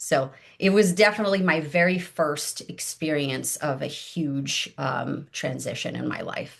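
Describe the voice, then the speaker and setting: A woman's very deep, low voice with vocal fry, at a fairly slow pace with hardly any pauses. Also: ordinary pitch variation. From Brazil. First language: Portuguese. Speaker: life coach and former engineering leader. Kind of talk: podcast interview. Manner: hesitant, frequent fillers.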